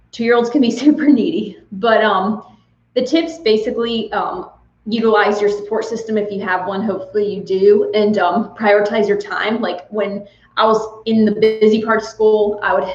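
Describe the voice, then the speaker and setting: A woman speaks with a fairly high pitch and ordinary pitch variation. Room echo is audible. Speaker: nurse anesthetist. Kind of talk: live Q&A chat. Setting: livestream. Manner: fast.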